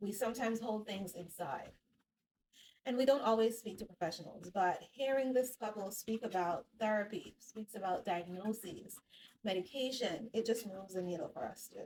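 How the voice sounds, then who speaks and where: Speaking at a moderate pace, a woman has a fairly high, somewhat breathy voice with ordinary pitch variation. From Jamaica. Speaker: psychotherapist. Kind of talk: casual talk to camera. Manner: walking on treadmill while talking.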